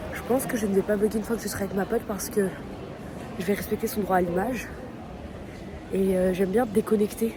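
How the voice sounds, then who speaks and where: A woman speaks very fast at a medium pitch, with monotone, flat intonation and long, frequent pauses. Noticeable background noise runs behind her. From Paris, France. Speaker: vlogger. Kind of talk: casual vlog talk. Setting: outdoors in the street. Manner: casual, conversational.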